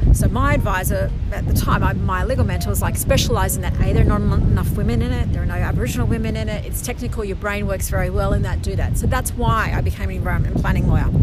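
Against noticeable background noise, a woman with an Australian accent talks at a very fast pace. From northern New South Wales, Australia. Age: 40s. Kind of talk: interview storytelling. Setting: outdoors by the coast.

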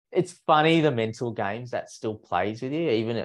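A man with an Australian accent speaks with lively intonation over a quiet background. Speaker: running podcast co-host and running coach. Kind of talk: casual chat. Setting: remote recording with guest.

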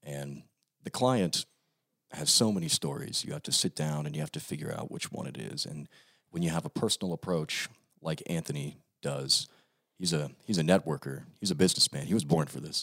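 With an American accent, a man talks at a fairly quick pace in a very deep, low voice with vocal fry and ordinary pitch variation, the sound dry and close with no echo. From Hurricane, West Virginia. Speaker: video co-producer. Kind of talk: casual chat.

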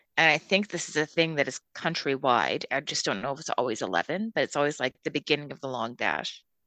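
Bright and sharp in tone, a woman with a western Canadian accent speaks at a fairly quick pace with hardly any pauses, a very deep, low pitch and lively intonation, in a dry, close sound with no echo and a quiet background. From Calgary, Canada. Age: 30s. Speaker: podcast co-host. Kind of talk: casual chat.

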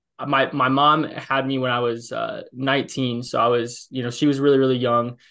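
A bright, sharp tone with a Midwestern American accent and monotone, flat intonation. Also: man. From US Midwest, Illinois. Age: 20s. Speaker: fitness coach. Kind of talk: podcast interview. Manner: halting, self-correcting.

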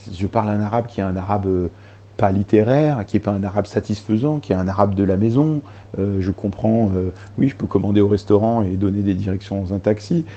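Moving at a fairly quick pace, a man talks at a fairly low pitch with a dark, mellow tone. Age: 30s. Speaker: journalist and author. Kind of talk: interview.

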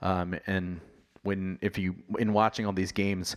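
A man's very deep, low voice in monotone, flat intonation, on a very clean recording with a silent background. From US, Virginia (Virginia Beach). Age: 30s. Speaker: podcast host. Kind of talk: casual solo monologue. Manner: halting, many fillers.

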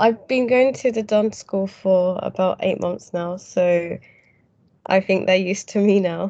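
In a British accent, a woman speaks at medium pitch with a dark, mellow tone. Her pace is fairly slow and her intonation fairly even. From UK. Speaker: English teacher. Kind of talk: casual interview chat. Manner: hesitant, with fillers.

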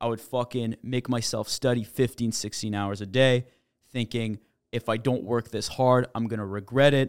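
A man speaks at a moderate pace in a medium pitch, his intonation flat and monotone, with a dry, close sound and no echo. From Quebec, Montreal. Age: 20s. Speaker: startup founder. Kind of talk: casual chat.

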